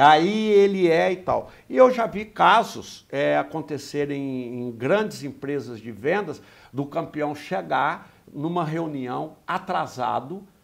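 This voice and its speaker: Speaking at a very slow pace, a man uses a fairly high pitch and lively intonation, with big swings in loudness. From Brazil, interior of Minas Gerais. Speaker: sales trainer, business owner. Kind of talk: interview. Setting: studio.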